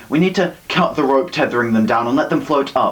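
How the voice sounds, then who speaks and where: Noticeable background noise accompanies a man with a fairly high pitch who speaks at a fairly quick pace with lively intonation. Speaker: slam poet. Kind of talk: slam poetry performance.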